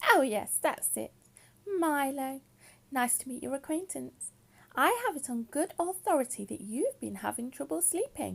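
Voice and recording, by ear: A woman puts on a squeaky character voice with a high pitch and speaks at a moderate pace.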